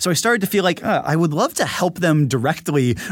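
Here a man with a normal speaking voice talks at a fairly high pitch with lively intonation and a fairly quick pace. The recording is very clean, with a silent background. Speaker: tech journalist and investor. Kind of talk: casual interview conversation. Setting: podcast conversation.

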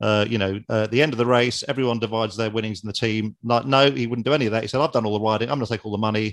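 A man talks at a very fast pace with hardly any pauses. His pitch is medium and his intonation fairly even. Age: 50s. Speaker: travel author and cyclist. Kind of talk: interview. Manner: halting, repeats words.

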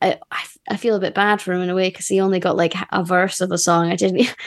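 In a quiet background, a woman talks at a fairly quick pace. Her pitch is medium and she has a Scottish accent. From Scotland. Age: 30s. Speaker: musician in a band. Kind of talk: casual chat.

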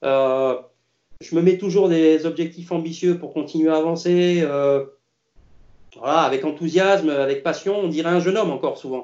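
Ordinary pitch variation in a man's fairly high voice, at a moderate speed. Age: 50s. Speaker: tennis coach. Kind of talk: interview. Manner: halting.

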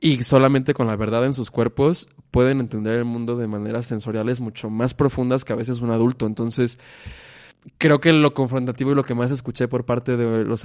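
Against a quiet background, a man speaks at a medium pitch. His intonation is fairly even, and his is an ordinary speaking voice. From Mexico, Irapuato, Guanajuato. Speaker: stage actor. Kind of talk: casual interview chat.

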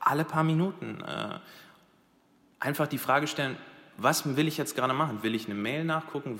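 A man talks at a moderate pace in a bright, sharp tone, his pitch varying in an ordinary way. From Dubai, then Krefeld, Germany from age 15. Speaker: digital industry professional. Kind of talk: casual chat. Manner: hesitant, many fillers.

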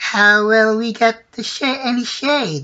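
A female-sounding voice performs a put-on character voice at a fairly high pitch. The pace is fairly slow. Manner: timid, questioning.

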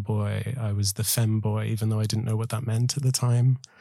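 Somewhat breathy and dark, mellow in tone, a man speaks at a fairly low pitch with monotone, flat intonation. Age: 20s. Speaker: collective member, storyteller. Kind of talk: scripted narration.

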